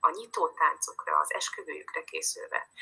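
Speaking at a moderate pace, a woman talks. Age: 40s. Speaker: dance teacher and relationship coach. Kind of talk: interview.

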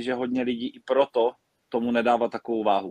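Recorded dry and close with no echo, a man speaks at a medium pitch and a moderate pace. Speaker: table tennis player. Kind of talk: casual interview.

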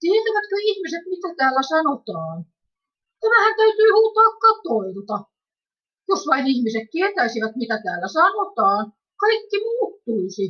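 Pitch swings very widely while the words come out at a very slow pace. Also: woman, extremely high pitch for a woman. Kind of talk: reading aloud a written testimony.

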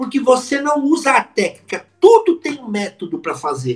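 A voice with very wide pitch swings moves at a moderate pace over music in the background. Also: man. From São Paulo city, Brazil. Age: 50s. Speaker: public speaking coach. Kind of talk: podcast interview. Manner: animated.

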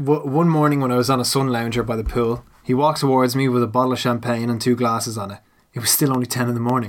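The intonation stays fairly even as this passage is read aloud in a natural voice.

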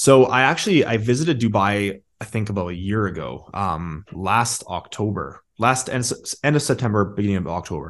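In an ordinary speaking voice, someone talks at a moderate pace with lively intonation and hardly any pauses against a quiet background. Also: man, fairly low pitch for a man. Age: 20s. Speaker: marketing agency owner and entrepreneur. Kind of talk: casual interview.

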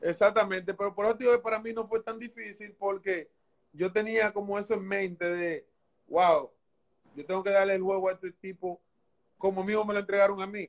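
A man speaks at a moderate pace in a high voice. His intonation is monotone and flat. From Dominican Republic, San Pedro de Macorís. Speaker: former baseball pitcher. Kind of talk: interview.

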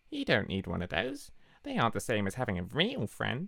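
In a put-on character voice, a man talks at a fairly quick pace and a medium pitch, on a very clean recording with a silent background. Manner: creepy, menacing.

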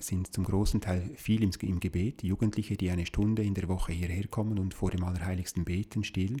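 A man speaks at a fairly quick pace and a fairly low pitch, his tone dark, mellow and somewhat breathy, with fairly even intonation. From Switzerland, Appenzell. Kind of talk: interview conversation. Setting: sacristy of a small chapel.

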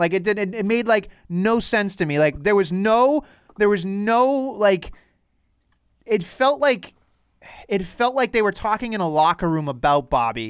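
A man with a high voice and a slight Boston accent talks fairly slowly with lively intonation. The recording is very clean, with a silent background. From Boston North Shore, US. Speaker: wrestling podcast host. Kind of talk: casual chat.

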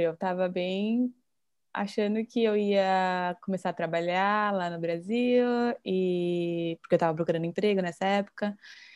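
Over a quiet background, a woman with a normal speaking voice talks at medium pitch with ordinary pitch variation. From Brazil. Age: 20s. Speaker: Instagram creator living abroad. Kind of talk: casual chat.

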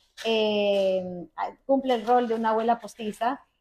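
The woman speaks with ordinary pitch variation. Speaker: food podcast host. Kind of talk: casual interview. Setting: guest's home.

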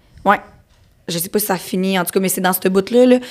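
On a very clean recording with a silent background, a woman with a medium pitch speaks at a fairly quick pace. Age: 20s. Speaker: barrel racer. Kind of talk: casual interview.

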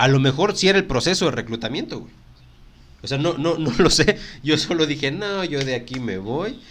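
The speaker is a man with a fairly high pitch. He moves at a moderate pace with lively intonation. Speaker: podcast host, human resources professional. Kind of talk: casual chat.

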